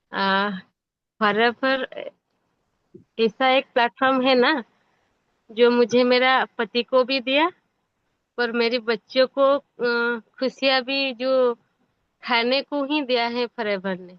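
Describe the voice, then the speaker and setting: Someone with a non-native accent speaks with fairly even intonation and long, frequent pauses. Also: woman, high pitch for a woman. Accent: non-native Hindi. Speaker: MLM distributor. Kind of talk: testimony. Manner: halting.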